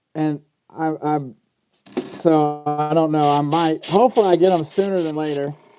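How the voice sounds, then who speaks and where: Against music in the background, the speech moves at a moderate pace. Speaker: fishing lure painter streaming. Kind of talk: live stream tutorial chat. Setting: live stream workshop. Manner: muffled by mask.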